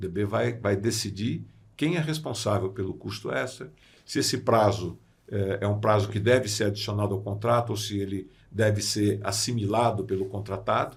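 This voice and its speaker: On a very clean recording with a silent background, a man speaks at a moderate pace in a fairly low voice with vocal fry and ordinary pitch variation. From Brazil, São Paulo state interior (Sorocaba). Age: 60s. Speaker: construction lawyer and arbitrator. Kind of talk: podcast interview. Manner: hesitant fillers (eh, né).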